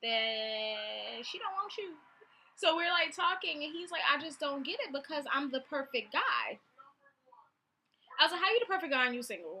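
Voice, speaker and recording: Her voice high-pitched, a woman speaks in an animated tone with lively intonation. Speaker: vlogger. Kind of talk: casual storytelling vlog. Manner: fast.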